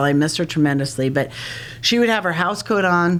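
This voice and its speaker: This woman has a very deep, low voice and an American accent. She speaks at a fairly quick pace. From New York (Long Island, Hamptons). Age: 50s. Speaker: prevention and recovery educator. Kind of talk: podcast interview.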